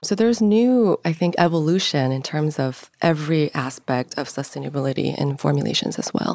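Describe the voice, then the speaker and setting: In a Korean accent, a woman talks at a fairly quick pace with hardly any pauses. Her pitch is very deep and low, and her intonation lively. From Seoul, South Korea. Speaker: beauty brand founder. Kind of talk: interview.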